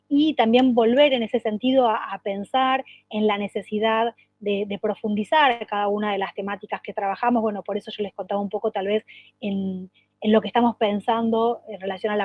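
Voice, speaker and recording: At a fairly quick pace, a woman speaks in a fairly high pitch with fairly even intonation. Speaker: education official. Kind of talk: work meeting presentation. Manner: fast; halting with many repetitions and fillers.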